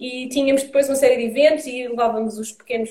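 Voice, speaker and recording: Very fast speech in a European Portuguese accent, with ordinary pitch variation and noticeable background noise. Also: woman. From Portugal, Lisbon and Santarém. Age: 30s. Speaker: environmental activist. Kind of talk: interview. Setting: video live stream.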